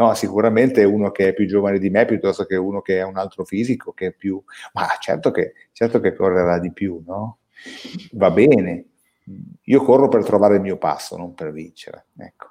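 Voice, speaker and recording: With long, frequent pauses, a man with a fairly low pitch speaks at a moderate pace, his intonation fairly even but his loudness swinging widely. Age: 50s. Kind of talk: casual chat.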